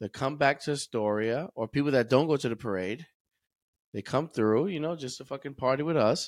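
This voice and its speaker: An ordinary speaking voice at a fairly quick pace with ordinary pitch variation, in a very clean recording with a silent background. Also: man, medium pitch for a man, dry, close sound with no echo. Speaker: DJ and party host. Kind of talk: casual banter promoting an event.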